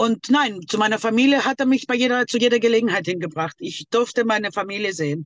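Using an ordinary speaking voice, a woman with a fairly high pitch and lively intonation speaks at a moderate pace, the sound dry and close with no echo. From Greece, Thessaloniki. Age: 50s. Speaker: abuse survivor. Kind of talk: testimony.

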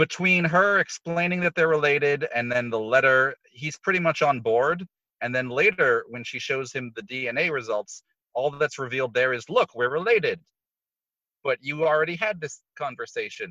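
Bright and sharp, this man's voice sits fairly high with lively intonation. He keeps a moderate pace in a dry, close sound with no echo. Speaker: podcast panelist. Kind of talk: casual chat. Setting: remote call.

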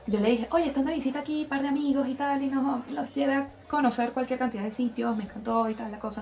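Noticeable background noise surrounds a woman talking at a very fast pace and high pitch. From Venezuela. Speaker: podcast co-host. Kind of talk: casual chat.

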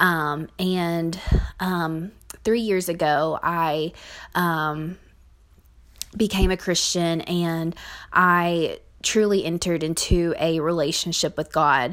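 Speaking with a Southern US accent, a woman talks at a very slow pace with long, frequent pauses, a fairly low pitch and fairly even intonation, in a very clean recording with a silent background. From Kentucky, US South. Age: 20s. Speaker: podcast host. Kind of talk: personal monologue. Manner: hesitant, many fillers.

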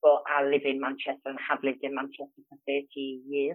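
With a Geordie accent, a woman talks at a fairly quick pace in an extremely low voice with monotone, flat intonation.

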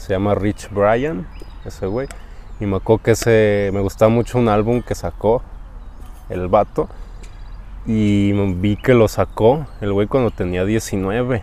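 In a Mexican accent, a man with a fairly low pitch and a dark, mellow tone speaks at a very slow pace, with fairly even intonation and long, frequent pauses. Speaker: podcast co-host. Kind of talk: casual chat.

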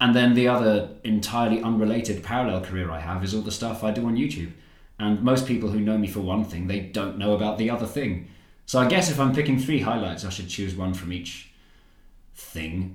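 A man's fairly low voice in a London accent, at a fairly quick pace. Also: ordinary pitch variation. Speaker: comedian and YouTuber. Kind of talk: casual interview chat. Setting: at his new home.

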